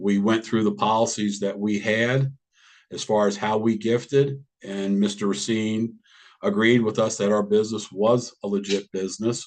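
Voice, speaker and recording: In an American accent, a man talks at a moderate pace with a fairly low pitch, fairly even intonation and an unremarkable speaking voice. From Washington DC. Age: 60s. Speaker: cannabis business owner. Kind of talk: public hearing testimony.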